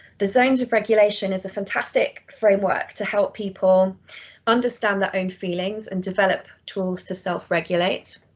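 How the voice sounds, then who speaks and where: The voice carries a British accent. Its intonation is monotone and flat. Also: woman, medium pitch for a woman. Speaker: education practitioner presenting her organisation. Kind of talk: online presentation. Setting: online session. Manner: fast.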